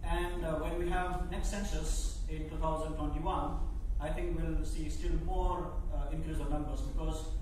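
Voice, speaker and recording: A man speaks amid noticeable background noise. Strong room echo surrounds his voice. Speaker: keynote speaker. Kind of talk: lecture. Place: hall.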